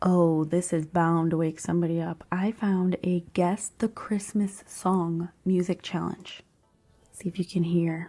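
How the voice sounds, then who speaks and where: A woman's quiet, monotone, flat delivery at a fairly slow pace, with music in the background. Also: fairly low pitch for a woman. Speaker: podcast host. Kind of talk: casual chat. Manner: quiet, holding back voice.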